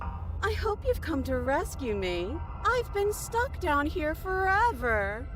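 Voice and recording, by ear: A put-on character voice at a fairly slow pace, over loud background music.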